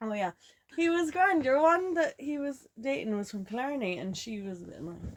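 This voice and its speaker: A woman speaks in a Kerry Irish accent, her pitch high and leaping across a very wide range. Her loudness rises and falls sharply at a moderate pace. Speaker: podcast co-host. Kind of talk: casual chat. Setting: camper van.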